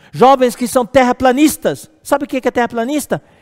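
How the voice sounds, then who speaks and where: Extremely high-pitched man's voice at a moderate pace, ordinary pitch variation, dry and close with no echo. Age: 60s. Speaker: preacher. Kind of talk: sermon. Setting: live stream. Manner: halting.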